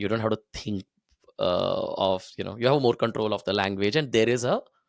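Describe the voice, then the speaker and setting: In a Tamil accent, a man speaks with a dry, close sound and no echo. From India (Delhi, Hyderabad). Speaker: cricket podcaster. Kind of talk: casual chat.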